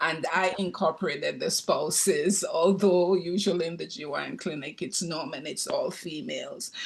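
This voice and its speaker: A man speaks in a Jamaican accent. He barely pauses at all. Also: moderate pace. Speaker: retired nursing professor and nurse practitioner. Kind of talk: audience comment in Q&A.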